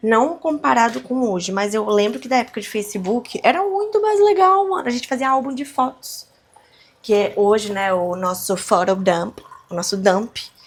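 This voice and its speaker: Against noticeable background noise, a woman with a fairly high pitch talks at a moderate pace in a relaxed tone. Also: lively intonation. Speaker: podcaster / vlogger. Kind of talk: casual monologue. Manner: relaxed, conversational.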